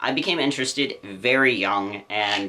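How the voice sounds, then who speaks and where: There is noticeable background noise behind a man with an American accent. His pitch varies in an ordinary way. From Louisiana, US South. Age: 20s. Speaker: pet YouTuber. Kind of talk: vlog monologue.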